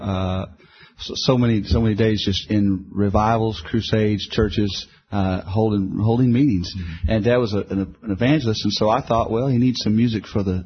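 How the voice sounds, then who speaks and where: A man speaks with an American accent at a fairly quick pace. His fairly low voice is somewhat breathy. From Houston, Texas. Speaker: gospel singer. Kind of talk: interview.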